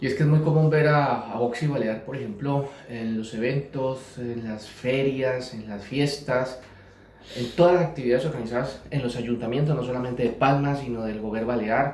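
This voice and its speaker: Noticeable background noise sits behind a man speaking at medium pitch. He keeps a moderate pace and fairly even intonation. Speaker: interviewer, channel host. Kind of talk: interview questions.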